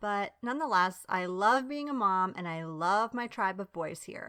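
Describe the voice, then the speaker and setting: In a very clean recording with a silent background, a woman with an American accent speaks fairly slowly at medium pitch, her tone bright and sharp and her intonation lively. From US Northeast, Long Island, New York, and Bari, Italy. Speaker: podcast host. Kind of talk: casual monologue. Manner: animated.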